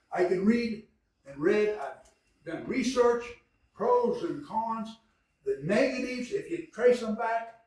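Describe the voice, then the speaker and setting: Amid audible room echo, a man with an extremely high pitch talks at a very slow pace, with very wide pitch swings and big swings in loudness. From Kansas, Mulberry. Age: 70s. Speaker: city council member. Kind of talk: public meeting debate. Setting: city council meeting. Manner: animated.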